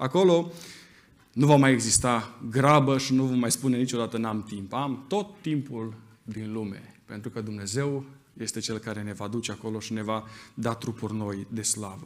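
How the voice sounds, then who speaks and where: A man speaks at a moderate pace with a medium pitch and ordinary pitch variation. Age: 30s. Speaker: preacher. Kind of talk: sermon. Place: church. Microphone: podium.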